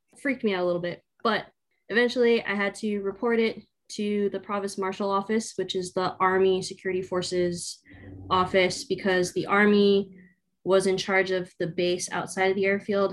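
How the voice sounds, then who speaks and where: In an American accent, a woman speaks with monotone, flat intonation and big swings in loudness. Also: medium pitch for a woman, moderate pace. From Southern California. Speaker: air force officer, civil engineer. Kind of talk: interview.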